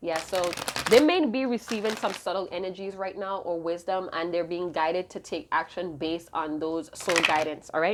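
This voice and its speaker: A woman's pitch varies in an ordinary way as she talks over noticeable background noise. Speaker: tarot reader. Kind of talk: tarot reading. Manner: fast.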